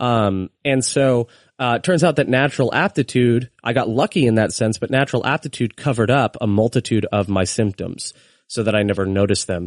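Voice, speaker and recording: In a dry, close recording with no echo and a quiet background, a man with an ordinary speaking voice and an American accent talks at a fairly quick pace, at medium pitch, with ordinary pitch variation and very even loudness. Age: 20s. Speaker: podcaster and former pastor. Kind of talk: casual interview.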